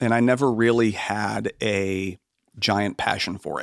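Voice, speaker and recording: A man with an American accent has an unremarkable speaking voice, fairly low in pitch, with fairly even intonation at a fairly slow pace, captured with a dry, close sound and no echo. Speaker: music producer and engineer. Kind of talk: casual interview.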